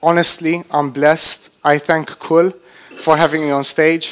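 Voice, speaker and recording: This man has a non-native accent and a fairly high pitch. He speaks with long, frequent pauses. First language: not English. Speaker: motivational speaker. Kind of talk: motivational talk. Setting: stage with audience. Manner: animated.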